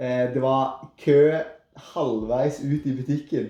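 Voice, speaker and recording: Speaking very slowly in a Rogaland accent, a man has a fairly high pitch and a dark, mellow tone. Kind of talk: podcast conversation.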